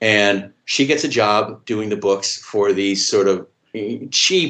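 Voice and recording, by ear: Against a quiet background, a natural voice reads text aloud.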